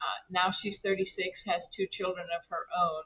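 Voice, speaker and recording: Here a woman is speaking. Her pace is fairly slow. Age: 60s. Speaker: regenerative rancher. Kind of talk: interview. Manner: halting, many repetitions.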